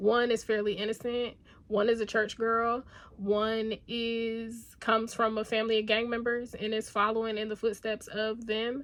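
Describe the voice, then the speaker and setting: Monotone, flat intonation carries speech delivered at a moderate speed. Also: woman, fairly high pitch for a woman. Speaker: book youtuber. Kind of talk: casual book review vlog. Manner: conversational with filler words.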